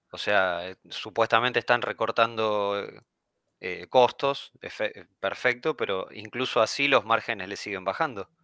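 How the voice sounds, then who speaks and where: A man with a Rioplatense accent speaks at a fairly slow pace in a medium pitch, his tone bright and sharp with ordinary pitch variation, on a very clean, dry, close recording with no echo and a silent background. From Argentina. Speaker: finance commentator. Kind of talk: casual chat.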